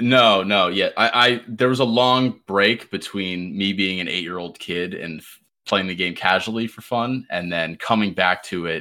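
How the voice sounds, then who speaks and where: Over a very clean recording with a silent background, a man with a fairly low pitch and a bright, sharp tone speaks at a moderate pace with big swings in loudness and hardly any pauses. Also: ordinary pitch variation. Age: 20s. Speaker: gaming content creator. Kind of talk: casual chat.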